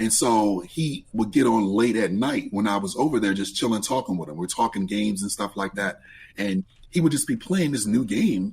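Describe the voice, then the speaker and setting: Lively intonation marks this man's medium-pitched voice. He speaks at a moderate pace. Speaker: gamer and streamer. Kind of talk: casual chat.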